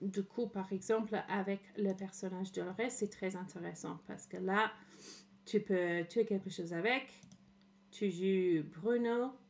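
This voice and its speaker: Delivered at a very slow pace, the speech carries a slight English accent and fairly even intonation. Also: woman, medium pitch for a woman. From England. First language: English (speaking French). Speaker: streamer. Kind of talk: casual livestream commentary. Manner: halting, many fillers.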